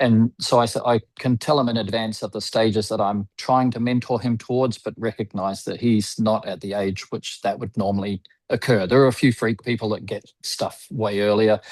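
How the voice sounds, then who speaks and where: A man speaks in a normal speaking voice at medium pitch and a moderate pace, with hardly any pauses and fairly even intonation. The background is quiet, and the sound is dry and close with no echo. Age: 60s. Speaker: window cleaning business owner. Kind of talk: podcast interview.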